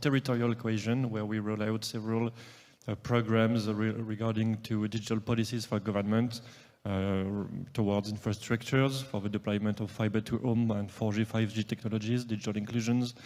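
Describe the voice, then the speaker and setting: A man speaks with a French accent at a fairly quick pace. His pitch is medium, and his intonation is monotone and flat. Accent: French, noticeable. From France. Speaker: government agency director. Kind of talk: panel self-introduction. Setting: stage with live audience.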